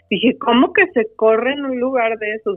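A woman with a Mexican accent speaks at a fairly slow pace as music plays in the background. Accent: Mexican Spanish (Jalisco). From Mexico, Guadalajara, Jalisco. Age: 50s. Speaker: ultramarathon runner and speaker. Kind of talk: interview conversation.

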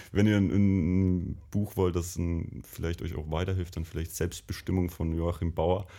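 A man with a very deep, low pitch and a dark, mellow tone talks at a fairly slow pace with fairly even intonation, in a very clean recording with a silent background. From Bavarian Lake Constance area, near Lindau. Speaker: university alumnus, designer. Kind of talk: casual interview chat. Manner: hesitant, many fillers.

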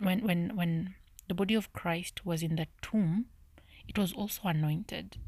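Whispering and soft-spoken, a woman talks at a fairly slow pace.

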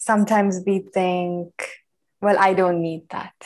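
At a fairly slow pace, a woman speaks with a medium pitch and ordinary pitch variation. The recording is very clean, the background silent. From Sri Lanka, Colombo. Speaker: empathy and communication coach. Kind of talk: interview conversation.

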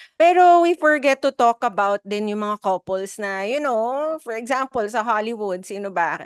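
A woman with an ordinary speaking voice and a fairly high pitch talks fairly slowly, with lively intonation and hardly any pauses. The very clean recording has a silent background and a dry, close sound with no echo. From Philippines, Filipino Chinese community. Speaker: podcast co-host. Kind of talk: casual chat.

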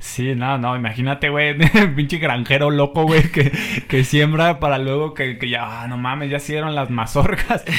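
Noticeable background noise sits behind this voice. A man speaks at a fairly high pitch. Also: fairly even intonation, moderate pace. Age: 20s. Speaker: podcast host. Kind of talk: casual chat. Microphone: poor audio quality.

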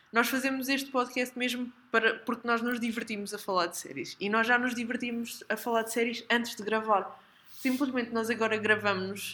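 High-pitched woman in a European Portuguese accent, fairly quick pace, fairly even intonation, noticeable background noise. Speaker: podcast co-host. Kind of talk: casual chat.

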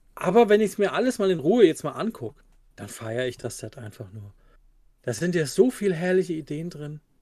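A man talks fairly quickly in a high voice with a dark, mellow tone. His pitch swings very widely and his loudness rises and falls sharply. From Germany, near Karlsruhe. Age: 40s. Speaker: Magic card game player. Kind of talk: casual chat.

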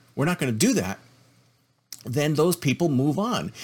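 With a somewhat breathy quality, a man talks at a moderate speed. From Canada. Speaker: podcast host. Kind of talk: opinion monologue. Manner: repetitive, emphatic.

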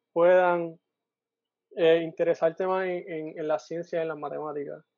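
A man speaks at a fairly slow pace with a high pitch. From Puerto Rico. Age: 20s. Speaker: engineer and volunteer. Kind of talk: casual chat.

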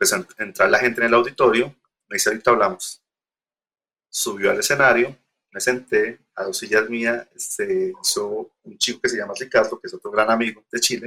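Talking fairly quickly, a man shows big swings in loudness. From Colombia, Girardot. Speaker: industrial designer and poster artist. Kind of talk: interview. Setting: remote call.

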